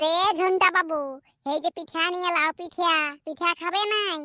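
Dry and close with no echo, a woman does a squeaky, cartoonish character voice at an extremely high pitch, speaking at a moderate pace with monotone, flat intonation. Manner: coaxing, nagging.

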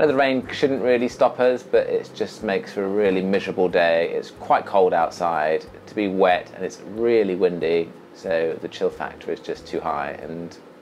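A man with a fairly low pitch, lively intonation and a moderate pace over light background noise. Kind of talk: casual vlog chat. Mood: cheerful, a little rueful. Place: boat. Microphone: camera far.

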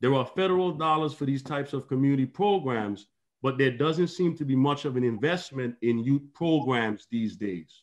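A man with a Virgin Islands accent, ordinary pitch variation, and a moderate pace against a quiet background. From US Virgin Islands. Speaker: author and town hall moderator; town hall moderator. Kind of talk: panel discussion remarks. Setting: video call. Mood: earnest, concerned. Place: home room. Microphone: video call.

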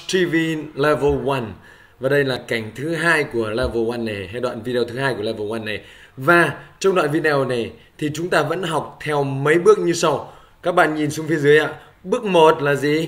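A man with a normal speaking voice, a fairly high pitch, lively intonation and a moderate pace. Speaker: English teacher. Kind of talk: tutorial.

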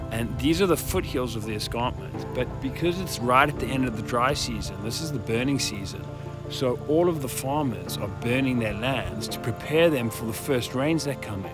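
A man's voice with hardly any pauses, dry and without echo, over clear background music. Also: moderate pace. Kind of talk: casual vlog chat. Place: open country. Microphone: phone near.

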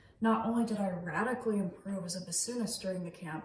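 A woman with an American accent at a fairly quick pace, ordinary pitch variation, audible room echo and light background noise. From US Pacific Northwest, Seattle. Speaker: bassoonist and music educator; music educator. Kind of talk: scripted narration. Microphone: phone near.

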